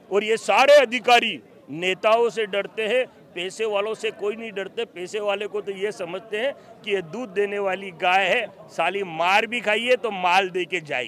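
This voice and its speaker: A man speaks with a high pitch and ordinary pitch variation. There is noticeable background noise. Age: 60s. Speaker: community leader. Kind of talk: interview. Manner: emphatic.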